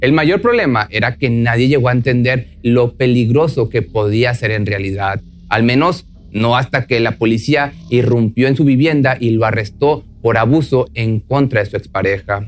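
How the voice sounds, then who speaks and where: A man speaks at a moderate pace in a medium-pitched voice with ordinary pitch variation, music playing in the background. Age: 30s. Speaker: true crime podcast narrator. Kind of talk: scripted storytelling narration.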